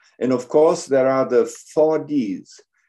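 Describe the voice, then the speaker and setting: Against a quiet background, a man with a German accent speaks fairly slowly at a fairly high pitch, his tone dark and mellow and his pitch variation ordinary. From Germany. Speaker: gynecologic surgeon and professor. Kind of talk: lecture. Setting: video call. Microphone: video call.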